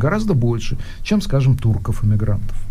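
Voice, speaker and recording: A man talks at a fairly quick pace with very wide pitch swings. Audible room echo and noticeable background noise accompany his voice. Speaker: radio host. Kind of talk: casual chat. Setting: studio.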